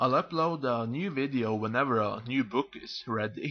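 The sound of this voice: Here an unforced reading voice is heard.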